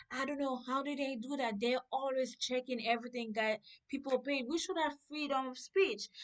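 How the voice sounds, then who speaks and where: Talking at a moderate pace, a woman uses a high voice with ordinary pitch variation. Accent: non-native. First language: not English. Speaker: political reaction vlogger. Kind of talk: reaction video commentary.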